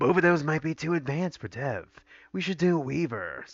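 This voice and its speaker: A man puts on a growling character voice at a fairly high pitch. He talks at a moderate pace. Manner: gruff.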